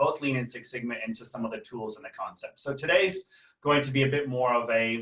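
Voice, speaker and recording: A man's medium-pitched voice at a very fast pace, with fairly even intonation and an American accent. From United States. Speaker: management consultant and trainer. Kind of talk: webinar lecture. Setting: video call webinar. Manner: hesitant, many fillers; casual, humorous.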